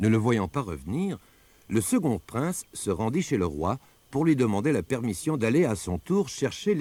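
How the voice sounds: Natural voice, reading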